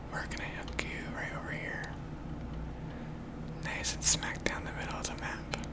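Long, frequent pauses against loud background noise. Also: moderate pace. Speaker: gaming ASMR creator. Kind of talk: ASMR gaming commentary. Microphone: studio mic.

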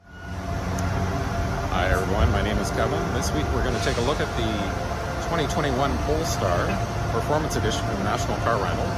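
Talking very fast, a man is heard over music in the background. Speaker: car reviewer. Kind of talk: casual vlog chat. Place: street. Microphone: phone near.

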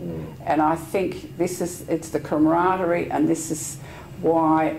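With an Australian accent, a woman speaks in a very deep, low voice and a flat monotone over light background noise. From Australia, Sydney. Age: 70s. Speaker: veteran yachtswoman, club life member. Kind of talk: oral history interview. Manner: halting. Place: home room. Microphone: lapel.

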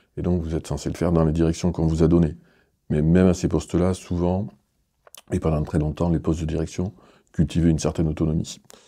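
Over a quiet background, a man talks at a very fast pace in a very deep, low pitch. His tone is dark and mellow, his intonation monotone and flat. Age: 50s. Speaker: arts centre director. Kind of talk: interview. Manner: hesitant, with many fillers. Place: studio.

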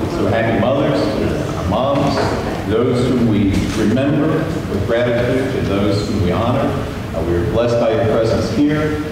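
The pitch varies in an ordinary way. Noticeable background noise and strong room echo fill the recording. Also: man. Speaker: minister. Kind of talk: church announcements. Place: church. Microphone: podium.

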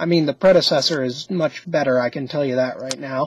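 At a fairly slow pace, the voice carries a slightly husky edge and ordinary pitch variation.

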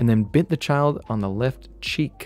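A man talks at a moderate pace over faint background music, and the sound is dry with no echo. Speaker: streamer. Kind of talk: comedic commentary and reading aloud. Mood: joking, mock-serious.

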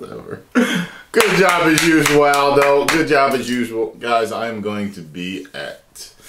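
A man talks fairly slowly. Background noise is noticeable throughout. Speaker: reaction video host. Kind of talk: casual reaction commentary. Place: home room.

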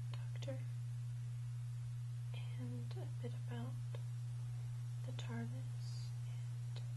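A soft-spoken woman talks over loud background noise. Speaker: product reviewer. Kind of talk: unboxing review talk. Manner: soft-spoken, hushed ASMR narration. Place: home room. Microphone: lapel.

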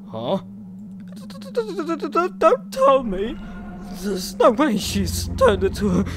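Using a put-on character voice, a man speaks at a fairly slow pace against clear background noise.

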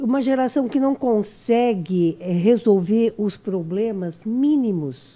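A woman speaks at a very slow pace with hardly any pauses, her fairly high, dark, mellow voice carrying lively intonation. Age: old. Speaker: audience member asking question; audience member. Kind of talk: question from audience. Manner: halting. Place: studio. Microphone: studio mic.

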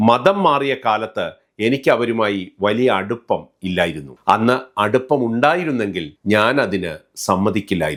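With lively intonation, a man speaks at a medium pitch in an unremarkable speaking voice. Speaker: YouTube commentator. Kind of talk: scripted narration.

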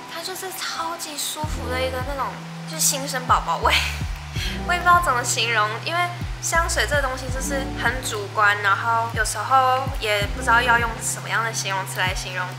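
A woman keeps a moderate pace while clear music runs in the background. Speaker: vlogger. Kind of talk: casual vlog chat, unboxing. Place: home room.

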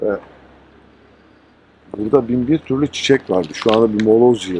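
An unremarkable speaking voice from a man, medium in pitch, at a moderate pace with ordinary pitch variation and a dry, close sound free of echo. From Antakya, Hatay, Turkey. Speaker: dubbing artist. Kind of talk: on-location documentary narration to camera.

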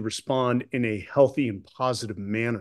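The background is quiet. A man speaks at a fairly slow pace. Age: 40s. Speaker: retired Navy SEAL officer and author; podcast guest. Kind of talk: interview conversation. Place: home room. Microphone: webcam.

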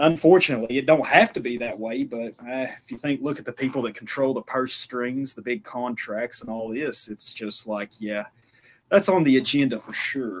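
On a very clean recording with a silent background, a man with an American accent speaks at a moderate pace and medium pitch, with ordinary pitch variation and big swings in loudness. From US South, northeast Tennessee. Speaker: podcast host. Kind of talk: casual chat.

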